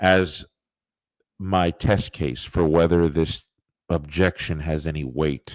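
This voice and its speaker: In a very clean recording with a silent background, a man talks at a very slow pace. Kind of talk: lecture-style presentation. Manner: halting, many fillers.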